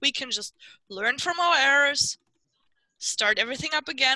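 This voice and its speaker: A woman's raised, projected voice, bright and sharp, at a moderate pace with ordinary pitch variation, dry with no echo against a quiet background. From Germany. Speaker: larp player. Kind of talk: role-play game. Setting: video call. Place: home room. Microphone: headset.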